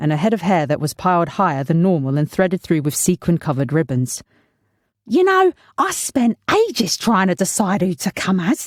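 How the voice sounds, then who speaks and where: A woman with a plain, everyday voice speaks at a moderate pace with a fairly low pitch, lively intonation and very even loudness, in a dry, close sound with no echo. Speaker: voice actor. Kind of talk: audiobook narration.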